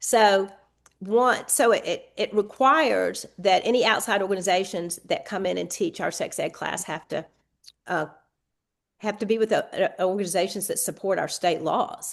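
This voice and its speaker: In a Southern US accent, a woman talks at a moderate pace over a quiet background. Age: 60s. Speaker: state legislator. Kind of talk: podcast interview.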